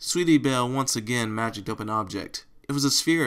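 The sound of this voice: Heard here is an unforced reading voice.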